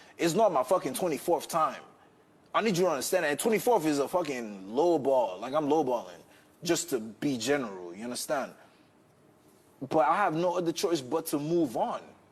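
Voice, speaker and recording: A man speaks loudly at a fairly quick pace in a fairly high voice. His pitch swings very widely. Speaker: reality TV contestant. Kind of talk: heated argument. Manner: fast.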